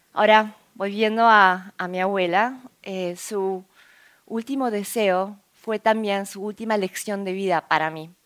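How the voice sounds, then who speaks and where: A woman's medium-pitched voice at a very slow pace, fairly even intonation, and big swings in loudness. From Argentina, Buenos Aires. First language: Korean (speaking Spanish). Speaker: entrepreneur and scientist giving a talk. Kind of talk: conference talk.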